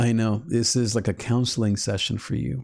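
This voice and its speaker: A man with an unremarkable speaking voice talks at a medium pitch and moderate pace. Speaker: YouTube channel host, Enneagram teacher. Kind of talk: live-stream teaching talk. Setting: live stream.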